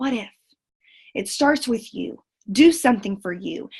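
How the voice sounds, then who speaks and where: With a Southern US accent, a woman speaks in a fairly high voice with lively intonation. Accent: southern drawl. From Central Texas. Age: 20s. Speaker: network marketing leader. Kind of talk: motivational talk. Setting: video call. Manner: animated.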